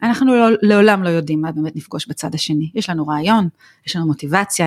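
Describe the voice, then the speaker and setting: On a very clean recording with a silent background and a dry, close sound with no echo, a woman with a fairly low pitch speaks at a very fast pace with ordinary pitch variation. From Israel. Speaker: nonprofit executive. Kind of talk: interview.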